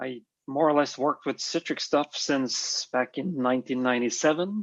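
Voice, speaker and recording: With a Norwegian accent, a man speaks at a moderate pace in a fairly high pitch with ordinary pitch variation. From Norway, Oslo. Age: 40s. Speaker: IT systems engineer. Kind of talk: interview.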